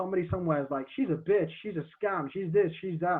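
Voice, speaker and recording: At a very fast pace, a man with a high pitch talks with ordinary pitch variation. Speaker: marketing coach. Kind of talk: podcast interview. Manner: animated.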